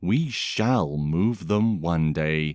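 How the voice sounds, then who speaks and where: Lively intonation comes through at a very slow pace in a very clean recording with a silent background and a dry, close sound with no echo. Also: man. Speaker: actor, voice artist and host. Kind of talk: read story for language learners. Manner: very slow, clear.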